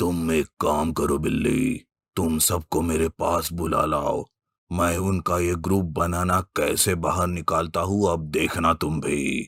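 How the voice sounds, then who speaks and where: A man uses a cartoonish character voice with a very deep, low pitch at a fairly slow pace. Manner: authoritative.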